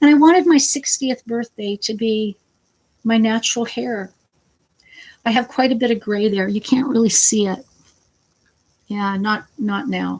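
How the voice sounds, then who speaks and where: A woman speaks at a fairly high pitch and a fairly slow pace, her voice somewhat breathy. Her pitch varies in an ordinary way, and she leaves long, frequent pauses. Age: 50s. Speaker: vlogger with cancer. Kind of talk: casual vlog talk. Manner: halting.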